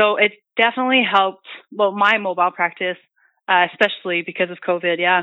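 With a Franco-Ontarian accent, a woman speaks at a very fast pace in a medium pitch, keeping her intonation fairly even and her loudness very even. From northern Ontario, Canada. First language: French. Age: 20s. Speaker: massage therapist. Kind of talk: casual chat. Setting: phone call.

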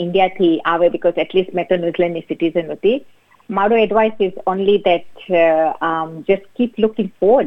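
A woman speaks with an unremarkable speaking voice and ordinary pitch variation. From New Zealand, born in Fiji. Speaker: accountant and small business owner. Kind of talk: interview. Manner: mixes English heavily into Gujarati.

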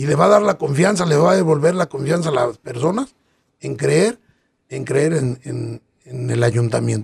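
Lively in intonation and touched by vocal fry, a man speaks at a moderate pace in a fairly high pitch. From Acatic, Jalisco, Mexico. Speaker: local political candidate. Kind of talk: interview.

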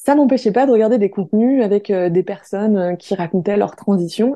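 A woman's dark, mellow voice at a moderate pace against a quiet background. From France. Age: 20s. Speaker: activist. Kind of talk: testimony.

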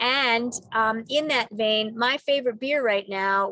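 Recorded very cleanly with a silent background and a dry, close sound with no echo, a woman speaks in a plain, everyday voice at a fairly high pitch with ordinary pitch variation. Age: 50s. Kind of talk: interview. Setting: in a car.

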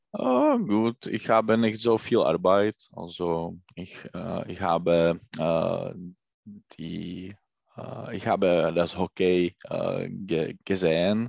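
At a very slow pace, a man with a Czech accent speaks in a very deep, low pitch with fairly even intonation, the sound dry and close with no echo over a quiet background. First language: Czech (speaking German). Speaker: German learner, credit analyst. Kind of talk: language lesson conversation. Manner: halting.

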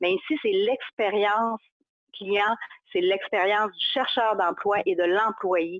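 In a Saguenay accent, a woman speaks at a medium pitch with ordinary pitch variation. Her pace is very slow. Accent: Saguenay Quebec French. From Quebec, Saguenay (Chicoutimi). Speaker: social media marketing consultant. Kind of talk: interview.

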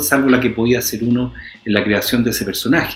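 Over noticeable background noise, a man with a Chilean accent speaks at a medium pitch. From Chile, Santiago. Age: 40s. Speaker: actor. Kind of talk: interview.

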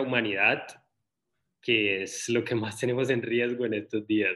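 A man speaks at a moderate pace in a flat, monotone way. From Colombia. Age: 30s. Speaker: social media content creator. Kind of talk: casual interview conversation.

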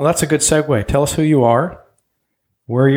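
A man talks in a dark, mellow tone. The background is silent on this very clean recording. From Germany, moved to US at age ten. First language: German. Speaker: podcast host. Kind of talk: interview.

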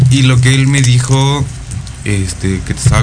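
Amid noticeable background noise and audible room echo, a man speaks at a fairly slow pace with lively intonation. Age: 30s. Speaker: guest sharing personal swinger experiences. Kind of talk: casual radio interview.

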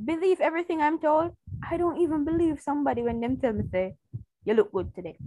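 Loud and very fast, a woman speaks at a high pitch with very wide pitch swings and a dark, mellow tone. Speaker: podcast co-host. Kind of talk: casual chat.

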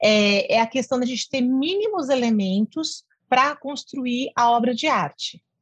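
A woman's high-pitched, lively voice, dry and close with no echo. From interior of São Paulo state, Brazil. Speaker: music professor. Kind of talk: interview.

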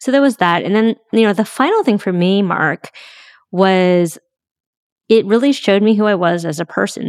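The intonation is lively, in an American accent. The sound is dry and close, with no echo. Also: woman. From San Francisco, US West Coast. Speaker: fundraising consultant. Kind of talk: interview. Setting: remote call. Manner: animated.

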